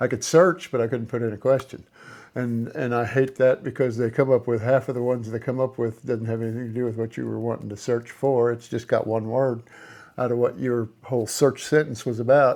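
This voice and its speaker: A man with a medium pitch talks at a fairly quick pace, keeping his intonation fairly even. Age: 60s. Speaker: rock polishing hobbyist YouTuber. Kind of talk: casual talk-along tutorial monologue. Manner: halting, many repeats and fillers.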